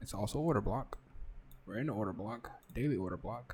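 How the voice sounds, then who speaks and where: A man whispers in a somewhat breathy voice. His pace is moderate. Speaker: trading educator. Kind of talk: live market analysis. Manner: whispering; casual. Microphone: close to mic, may sound quiet.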